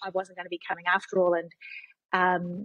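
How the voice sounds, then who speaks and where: With a New Zealand accent, a woman speaks at a medium pitch. Her intonation is monotone and flat. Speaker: non-profit CEO and tech consultant. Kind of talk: podcast interview.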